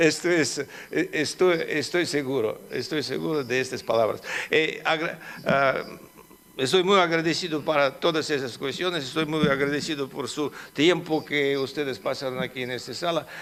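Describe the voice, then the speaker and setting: Audible room echo surrounds a man with a non-native accent who talks at a moderate pace, his pitch fairly high. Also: fairly even intonation. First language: Russian (speaking Spanish). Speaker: politician. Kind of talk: conference talk. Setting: conference hall with audience. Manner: halting, many fillers.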